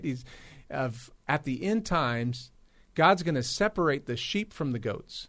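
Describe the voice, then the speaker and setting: An ordinary speaking voice from a man with an American accent, fairly high-pitched, at a fairly slow pace with lively intonation. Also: quiet background. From US West Coast, Los Angeles. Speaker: pastor running a community ministry. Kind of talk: radio interview. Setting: studio.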